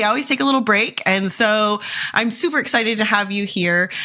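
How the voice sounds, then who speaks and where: An enthusiastic tone comes through over noticeable background noise. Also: woman. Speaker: podcast host. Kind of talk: podcast interview. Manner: enthusiastic, gushing.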